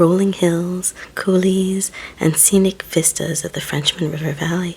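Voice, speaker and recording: Someone soft-spoken talks at a moderate pace over noticeable background noise. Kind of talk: ASMR reading and ramble.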